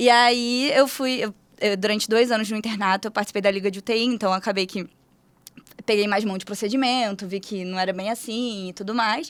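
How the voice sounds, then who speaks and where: Here a woman speaks at a fairly quick pace. Her pitch is fairly high and her intonation fairly even. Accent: Paulista. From Rio de Janeiro state, Brazil (Petrópolis). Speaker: medical resident, hematology. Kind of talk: casual chat.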